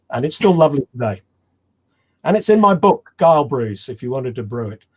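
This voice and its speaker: At a fairly quick pace, a man speaks in a somewhat breathy voice at a fairly high pitch, with very wide pitch swings and big swings in loudness. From England, Cornwall. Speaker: homebrewing author and presenter. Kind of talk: webinar Q&A chat.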